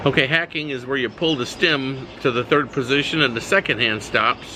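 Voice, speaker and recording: Speaking at a moderate pace, a man with a fairly high pitch and ordinary pitch variation is heard over noticeable background noise. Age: 60s. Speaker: watch reviewer. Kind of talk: product review video. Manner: casual, hesitant with many fillers.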